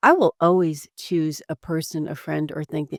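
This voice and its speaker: In a very clean recording with a silent background and a dry, close sound with no echo, a woman with a New Jersey accent speaks at a very deep, low pitch. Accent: New Jersey American. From New Jersey, US. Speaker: executive coach and former real estate attorney. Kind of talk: podcast interview. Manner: talkative.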